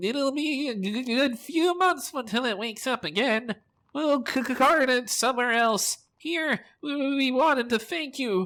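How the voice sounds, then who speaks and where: A put-on character voice, high in pitch, at a moderate pace, on a very clean recording with a silent background. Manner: stuttering, hesitant.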